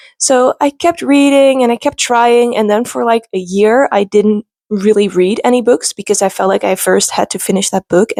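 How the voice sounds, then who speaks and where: With a Dutch accent and lively intonation, a woman speaks at a fairly high pitch and a moderate pace in a dry, close sound with no echo. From Netherlands. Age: 20s. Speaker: booktuber. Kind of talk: casual vlog talk.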